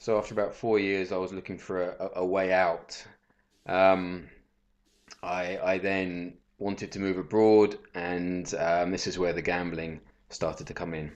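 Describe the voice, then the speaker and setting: At a moderate pace, a man with a southern English accent talks in a very deep, low pitch with monotone, flat intonation. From southern England. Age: 30s. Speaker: professional bettor. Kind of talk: casual interview.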